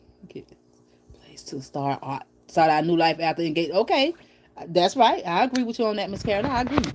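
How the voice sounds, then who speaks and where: A woman talks at a fairly quick pace with very wide pitch swings. Noticeable background noise is present. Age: 40s. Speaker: YouTube live streamer. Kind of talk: casual chat. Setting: live stream from bed at home. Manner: fast.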